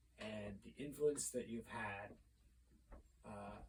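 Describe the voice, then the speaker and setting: A man speaks in an American accent at a fairly slow pace. Audible room echo is present. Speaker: vlogger doing a mock press conference. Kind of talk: mock press conference monologue. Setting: filming to camera. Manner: casual, halting with fillers.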